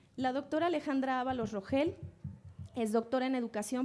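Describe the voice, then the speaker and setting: A woman talks at a fairly quick pace with ordinary pitch variation. Her tone is dark and mellow. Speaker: panel moderator. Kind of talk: reading speaker introductions. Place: hall. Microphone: podium.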